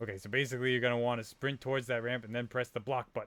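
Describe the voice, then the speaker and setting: A man puts on a character voice at medium pitch. He speaks at a very fast pace. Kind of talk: comic overacting. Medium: game stream. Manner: brash, fast-talking salesman.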